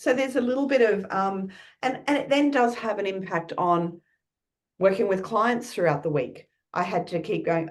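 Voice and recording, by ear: Using a put-on character voice, a woman sounds croaky at a medium pitch, with lively intonation and a moderate pace.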